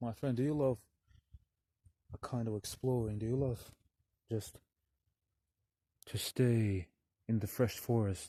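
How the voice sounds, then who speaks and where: Somewhat breathy and dark, mellow in tone, the voice moves at a fairly slow pace with fairly even intonation and long, frequent pauses. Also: man, medium pitch for a man. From Russian-speaking country, never abroad. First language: Russian. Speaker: vlogger. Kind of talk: outdoor vlog talk to camera. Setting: outdoors in a forest. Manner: halting.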